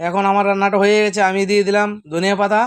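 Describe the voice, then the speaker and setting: The man's voice is high-pitched, with monotone, flat intonation. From Bangladesh. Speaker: cook and video blogger. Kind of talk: cooking tutorial. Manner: halting.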